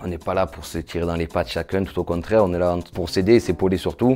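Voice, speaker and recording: A dark, mellow voice speaking at a very fast pace with fairly even intonation. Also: man. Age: 30s. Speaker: psychiatric nurse. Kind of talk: testimony interview. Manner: hesitant, with fillers and repetitions.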